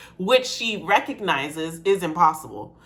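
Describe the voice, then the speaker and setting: There is audible room echo as a woman talks in an animated tone. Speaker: music reaction youtuber. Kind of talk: reaction commentary.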